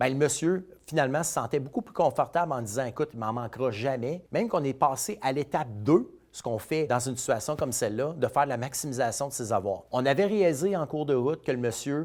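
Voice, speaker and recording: Speaking at a very fast pace, a man with a fairly high pitch uses lively intonation on a very clean recording with a silent background. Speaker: financial advisor. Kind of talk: casual storytelling monologue.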